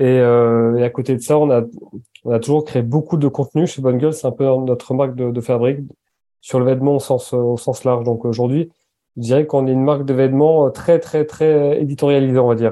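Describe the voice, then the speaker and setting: Fairly quick in pace, a man speaks at a medium pitch with fairly even intonation. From French Basque Country. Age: 30s. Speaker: entrepreneur, founder of a clothing brand. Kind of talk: interview conversation. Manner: halting, with many repetitions.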